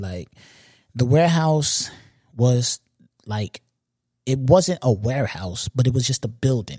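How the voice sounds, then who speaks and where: A man with a New York accent speaks at a medium pitch in a somewhat breathy, dark, mellow tone, with lively intonation and a dry, close sound with no echo. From Long Island, New York. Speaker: podcast host. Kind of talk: casual monologue. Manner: repetitive.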